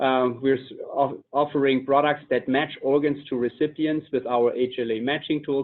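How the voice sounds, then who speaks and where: A man talks with a German accent. His pitch is fairly high and his pace moderate. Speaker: company executive. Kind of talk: webinar presentation.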